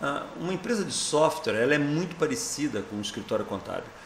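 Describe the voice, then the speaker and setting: A man with a fairly high pitch talks at a fairly quick pace over noticeable background noise. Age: 60s. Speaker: software company founder and president. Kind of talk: interview. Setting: event, convention coverage.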